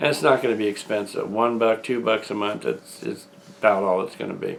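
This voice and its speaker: Speaking at a fairly quick pace, a man with an unremarkable speaking voice keeps a medium pitch and fairly even intonation. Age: 60s. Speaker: independent filmmaker and channel owner. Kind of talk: video announcement monologue. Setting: at home, front room.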